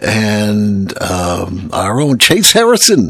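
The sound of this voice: A gravelly man speaks slowly at a fairly low pitch, with a fairly bright tone and very wide pitch swings.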